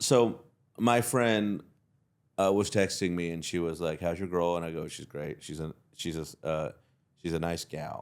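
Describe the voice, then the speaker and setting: A man speaks at a moderate pace with a very deep, low pitch and a Southern US accent, his pitch varying in an ordinary way. Long, frequent pauses break up his speech on a very clean recording with a silent background. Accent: Southern twang. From Texas (Fort Worth). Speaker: comedian. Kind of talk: casual chat.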